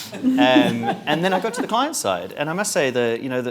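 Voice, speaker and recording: A strong South African accent at a very fast pace. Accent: South African, stronger. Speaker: marketing executive. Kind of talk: panel discussion.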